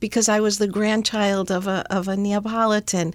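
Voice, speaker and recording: This woman has a normal speaking voice with a fairly high pitch and an American accent. She talks at a moderate pace with fairly even intonation. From US Northeast, Rhode Island. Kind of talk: interview. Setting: studio.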